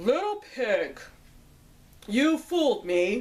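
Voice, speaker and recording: Using a put-on character voice, a woman talks at a high pitch with very wide pitch swings. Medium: read story. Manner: sly.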